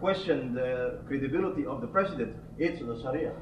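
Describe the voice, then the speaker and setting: Audible room echo surrounds a man's voice, along with noticeable background noise. His pace is moderate. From Indonesia. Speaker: audience member. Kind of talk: audience question. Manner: halting.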